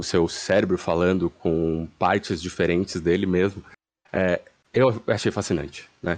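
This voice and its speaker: Against a quiet background, a man speaks in a very deep, low pitch at a fairly slow pace, with fairly even intonation and very even loudness. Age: 30s. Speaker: community member. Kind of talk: casual chat.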